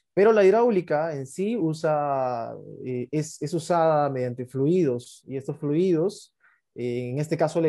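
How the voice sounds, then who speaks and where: Here a man speaks with a dark, mellow tone at a fairly high pitch. His pitch variation is ordinary, and the background is quiet. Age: 20s. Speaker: company founder and CEO. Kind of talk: interview.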